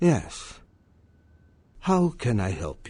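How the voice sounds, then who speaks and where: In a put-on character voice at medium pitch, a man speaks with a calm tone and very wide pitch swings. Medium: video game. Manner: calm, measured, proverbial.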